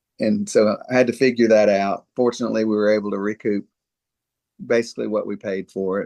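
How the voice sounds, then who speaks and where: A man's fairly low voice in a Mississippi accent, monotone and flat at a moderate pace. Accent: Southern US (Mississippi). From US South, Mississippi. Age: 60s. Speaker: dentist. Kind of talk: interview conversation. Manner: halting, many fillers.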